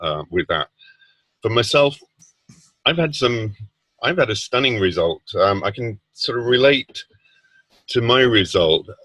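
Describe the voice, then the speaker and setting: In a British accent, a man talks at a moderate pace with ordinary pitch variation and a bright, sharp tone, in a dry, close sound with no echo. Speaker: product user sharing results. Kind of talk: testimony. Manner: halting.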